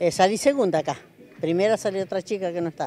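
Faint music plays in the background of this dry recording, which has no echo. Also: woman. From General Alvear, Mendoza, Argentina. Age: 70s. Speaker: senior sapo player. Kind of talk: interview answer. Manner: cheerful, chatty. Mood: proud, cheerful. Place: hall. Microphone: handheld.

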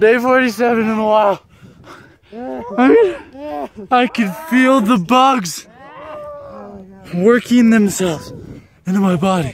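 A man with a high pitch speaks at a very slow pace, leaving long, frequent pauses. His ordinary pitch variation comes through a dry sound with no echo over light background noise. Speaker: vlogger. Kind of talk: casual vlog chat, mock-dramatic. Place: open country. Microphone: phone near.

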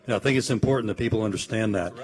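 A man speaks with an American accent. His is an unremarkable speaking voice, medium in pitch with ordinary pitch variation. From Austin, Texas. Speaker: accountant. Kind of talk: panel discussion.

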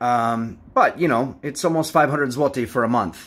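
A man with an American accent, medium pitch and ordinary pitch variation, at a moderate pace, on a very clean recording with a silent background. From United States. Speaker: travel vlogger. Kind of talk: tutorial. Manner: hesitant, frequent fillers.

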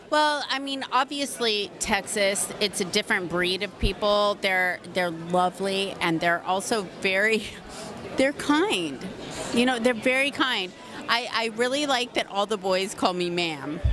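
Over noticeable background noise, a woman talks at a fairly slow pace in a dry sound with no echo. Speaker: interviewee. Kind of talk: interview answer. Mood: warm, laughing, enthusiastic. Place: hall. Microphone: handheld.

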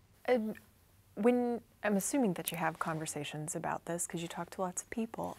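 A woman with ordinary pitch variation, at a moderate speed. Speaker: oral historian interviewer. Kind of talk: interview. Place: studio.

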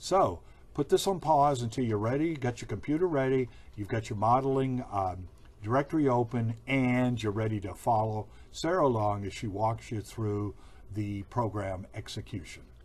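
Somewhat breathy, a man speaks at a moderate pace with lively intonation. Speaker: training video host. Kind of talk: video introduction. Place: office. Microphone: webcam.

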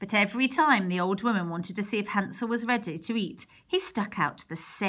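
With ordinary pitch variation, the clip is reading aloud in a natural voice.

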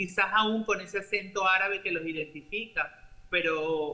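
At a fairly slow pace, a man speaks high with a bright, sharp tone and fairly even intonation. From Venezuela. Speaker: doctor; news commentator joining remotely. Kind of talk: interview; commentary. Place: home room. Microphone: webcam.

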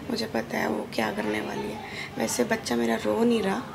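Noticeable background noise behind a woman talking at a fairly slow pace. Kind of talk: casual vlog chat. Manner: tired, weak voice after surgery. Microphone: phone near.

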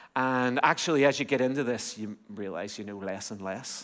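With an Irish accent, a man speaks at a fairly quick pace with ordinary pitch variation over a quiet background. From Ireland. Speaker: pastor. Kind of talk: sermon. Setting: church. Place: church. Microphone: headset.

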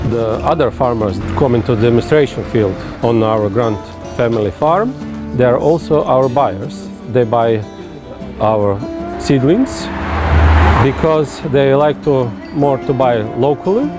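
Over clear background music, a man talks at a fairly slow pace with long, frequent pauses. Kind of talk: interview answer. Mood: calm, friendly. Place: street.

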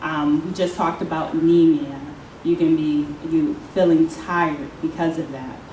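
With light background noise and audible room echo, a woman speaks at a moderate pace and a fairly low pitch. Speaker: oncology nurse. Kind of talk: educational talk. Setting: stage with audience. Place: hall.

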